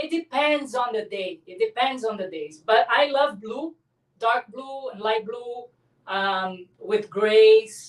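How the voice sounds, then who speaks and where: Speaking at a very slow pace in a Brazilian Portuguese accent, a woman with a fairly high pitch shows big swings in loudness. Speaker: abstract artist. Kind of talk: interview.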